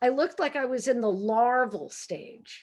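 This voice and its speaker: A high-pitched woman in a Brooklyn accent, animated in tone. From Brooklyn, New York. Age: 60s. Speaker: humorist and professor. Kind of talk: author talk. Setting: video call.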